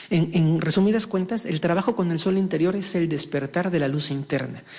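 With an unremarkable speaking voice, a man speaks at a fairly high pitch with ordinary pitch variation. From Mexico. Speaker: shaman and spiritual healer. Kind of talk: interview. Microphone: echo.

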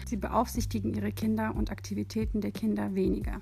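A woman talks at a fairly quick pace, with audible room echo and music playing in the background. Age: 20s. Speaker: student teacher. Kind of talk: lecture. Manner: halting.

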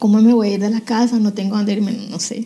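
Noticeable background noise sits behind a woman speaking at a fairly quick pace. Her pitch is fairly high and her intonation fairly even. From Colombia, Cali. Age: 40s. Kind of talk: testimony.

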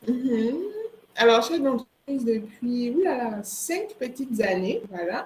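A woman's high-pitched voice moves at a very slow pace. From Ivory Coast. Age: 20s. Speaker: entrepreneur. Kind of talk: interview.

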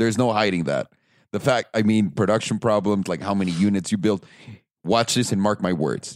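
A man with a fairly low voice speaks at a fairly quick pace in an animated tone, in a very clean recording with a silent background. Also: ordinary pitch variation. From Mexico. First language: Spanish. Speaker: car podcast host. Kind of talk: casual chat. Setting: studio.

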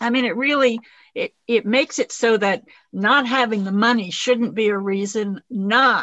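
A woman talks with fairly even intonation and a fairly high pitch. Her tone is bright and sharp. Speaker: radio host. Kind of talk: interview.

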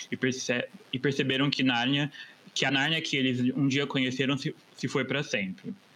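Through noticeable background noise, a man's intonation stays fairly even. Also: medium pitch for a man, moderate pace, very even loudness. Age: 30s. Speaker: advertising professional, podcast guest. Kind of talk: casual chat; reading aloud.

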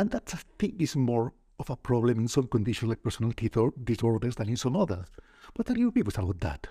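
Speaking very fast with lively intonation, a man has a medium pitch and a dark, mellow tone that is somewhat breathy. The sound is dry and close, with no echo. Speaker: psychiatrist and podcast host. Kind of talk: interview conversation.

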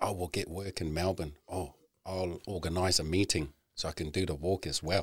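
A man speaks at a moderate pace in a very deep, low pitch, somewhat breathy, with fairly even intonation. The recording is very clean, with a silent background. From Tonga. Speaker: construction crew leader and men's group founder. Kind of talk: casual chat.

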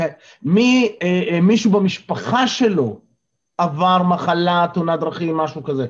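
Lively in intonation, a man speaks at a fairly slow pace with a high pitch. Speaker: life coach and morning zoom session leader. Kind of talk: motivational talk to online group. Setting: video call. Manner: energetic.

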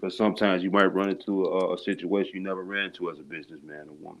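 A man with an American accent, very deep and low in pitch, at a very fast pace. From Chicago area, Illinois. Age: 30s. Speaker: business founder. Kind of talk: casual interview.

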